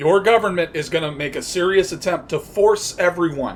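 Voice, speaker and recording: With an American accent, a man talks at a fairly quick pace in a high pitch, with ordinary pitch variation. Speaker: political podcast host. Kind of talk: political commentary monologue. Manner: casual, conversational with fillers.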